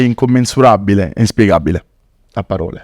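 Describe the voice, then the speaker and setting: Dark, mellow tone with a dry, close sound and no echo. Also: man. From southern Italy, Naples. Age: 20s. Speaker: dentist and charity founder. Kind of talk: podcast interview, personal story.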